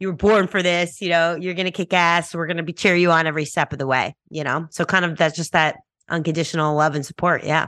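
A woman with a New York accent speaks very fast at a fairly low pitch, her tone bright and sharp and her intonation fairly even, in a dry, close sound with no echo and a quiet background. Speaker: musician and tech entrepreneur. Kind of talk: interview.

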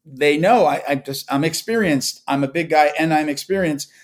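Here is an unremarkable speaking voice: a man with an American accent, a fairly high pitch and ordinary pitch variation, speaking at a fairly quick pace in a very clean recording with a silent background. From Long Island, New York. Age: 40s. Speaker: jiu-jitsu practitioner and podcaster. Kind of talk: casual interview chat.

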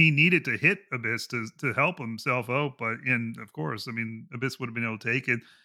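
With an unremarkable speaking voice, a man talks at a medium pitch and a fairly quick pace, using ordinary pitch variation and hardly any pauses. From Canada. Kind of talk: casual chat.

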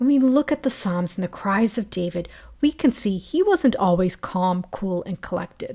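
Against a quiet background, a woman speaks at a moderate pace and medium pitch in a gentle, dark, mellow tone, somewhat breathy, with lively intonation. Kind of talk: fervent prayer, spoken to God. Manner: earnest, heartfelt, impassioned; reverent, gentle.

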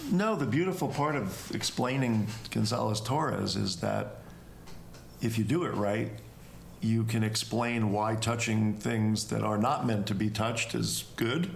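At a fairly slow pace, a plain, everyday voice holds very even loudness with ordinary pitch variation. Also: man, fairly low pitch for a man. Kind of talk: casual chat. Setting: Airbnb, recorded live.

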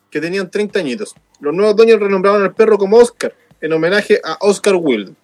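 With a Chilean accent, a man speaks at a fairly quick pace in a high pitch. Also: ordinary pitch variation. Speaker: radio show co-host. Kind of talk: news reading; casual chat. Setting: studio.

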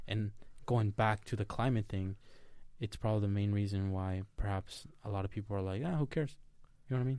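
Talking at a fairly quick pace with a Spanish accent, a man has a fairly low pitch, a dark, mellow tone and ordinary pitch variation. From Mexico. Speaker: podcast co-host, college student. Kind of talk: casual chat.

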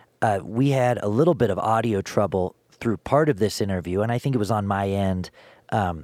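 The speech moves at a fairly quick pace in a normal speaking voice. The recording is very clean, with a silent background and a dry, close sound with no echo. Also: man. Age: 20s. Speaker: podcast host and musician. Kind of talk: casual interview chat; solo intro monologue.

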